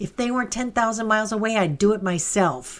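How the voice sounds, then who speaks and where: A female-sounding voice does a put-on character at a very fast pace, pitched fairly high for a woman. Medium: read story. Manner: blunt, demanding.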